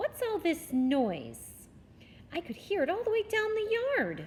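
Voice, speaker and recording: A female-sounding, put-on character voice, squeaky and extremely high, at a fairly slow pace over clear background noise. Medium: read story. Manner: brisk, demanding.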